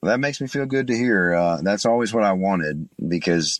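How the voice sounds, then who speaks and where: A man with an East Tennessee accent speaks at a moderate pace, the sound dry and close with no echo. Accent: Southern US (East Tennessee). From East Tennessee (Chattanooga). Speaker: bluegrass singer and guitarist. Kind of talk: interview. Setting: remote call.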